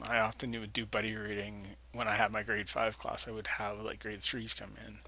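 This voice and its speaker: A man talks at a fairly low pitch with vocal fry and a bright, sharp tone. His intonation is monotone and flat, and the room echo is audible. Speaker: teacher. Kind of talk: lecture. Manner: fast.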